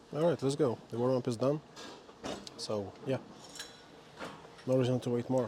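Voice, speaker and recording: A man speaks at a moderate pace in a medium pitch, his intonation fairly even. He pauses long and often, with noticeable noise in the background. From Slavic country. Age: 20s. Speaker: fitness vlogger. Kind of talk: gym vlog monologue. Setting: gym. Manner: casual, conversational.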